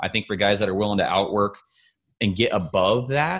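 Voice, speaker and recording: A man speaks at a moderate pace in an unremarkable speaking voice, his medium pitch moving with ordinary variation over a quiet background. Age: 20s. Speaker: hunting YouTuber and podcast host. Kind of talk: casual chat.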